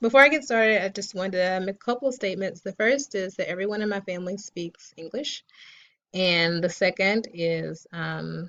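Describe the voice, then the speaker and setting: Talking at a fairly quick pace, a woman with an American accent uses a medium pitch and ordinary pitch variation. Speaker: graduate student. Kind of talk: class presentation. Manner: fast.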